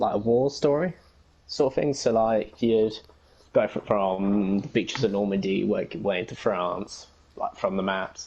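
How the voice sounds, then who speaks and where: With an English accent, a man speaks at a moderate pace in a medium pitch with a dark, mellow tone. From England, Essex. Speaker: gamer and fan-fiction writer. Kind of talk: casual interview chat.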